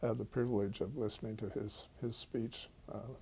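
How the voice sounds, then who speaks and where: A man's dark, mellow, somewhat breathy voice at a moderate pace, with fairly even intonation. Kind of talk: interview answer.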